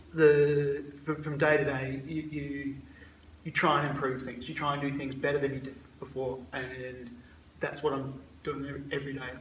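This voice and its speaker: Fairly high-pitched man at a moderate pace, monotone and flat in intonation, with audible room echo and noticeable background noise. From Scotland. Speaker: emergency doctor. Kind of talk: casual interview. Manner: halting, repeated words.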